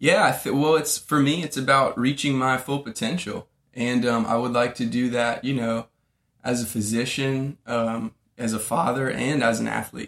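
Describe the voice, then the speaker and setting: A man with an American accent and an unremarkable speaking voice, medium in pitch, at a moderate pace with fairly even intonation. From Florida. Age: 30s. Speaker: medical student. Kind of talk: casual interview. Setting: apartment.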